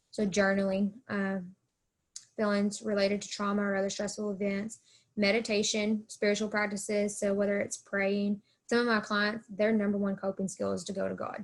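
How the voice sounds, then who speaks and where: Somewhat breathy and medium in pitch, a woman speaks with an American accent in a flat, monotone way. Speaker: college counselor. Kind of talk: presentation. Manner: fast.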